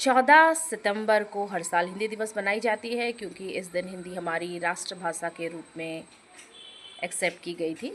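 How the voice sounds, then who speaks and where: Over noticeable background noise, the voice moves with lively intonation. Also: woman, medium pitch for a woman. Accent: Odia. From Odisha, India. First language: Odia (speaking Hindi). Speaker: YouTube creator. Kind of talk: short vlog monologue. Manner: conversational with hesitations.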